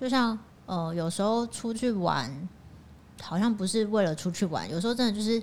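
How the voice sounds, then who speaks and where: A woman's somewhat breathy voice at medium pitch, moderate pace, and ordinary pitch variation. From Changhua, Taiwan. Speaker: co-reader guest. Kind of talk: casual book discussion.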